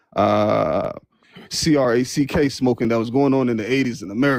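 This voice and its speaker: Medium-pitched male voice with vocal fry, fairly even intonation and a fairly quick pace. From Nigeria. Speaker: caller. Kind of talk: heated debate.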